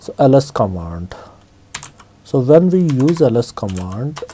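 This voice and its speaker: A man's very slow speech with very wide pitch swings. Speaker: Linux tutorial instructor. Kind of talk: screen-recorded software tutorial. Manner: casual, hesitant with fillers.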